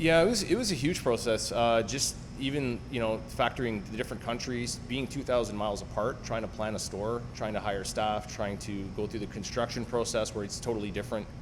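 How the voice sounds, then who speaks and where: A man with a Canadian accent talks at medium pitch and a fairly quick pace, with hardly any pauses. Music plays in the background, and room echo is audible. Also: ordinary pitch variation. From Canada (Ottawa). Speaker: car dealership owner. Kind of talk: podcast interview.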